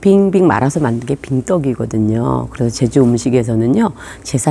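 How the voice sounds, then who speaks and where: With lively intonation and a very deep, low pitch, a woman talks at a moderate pace over noticeable background noise. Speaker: tour guide. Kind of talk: explanatory talk to camera.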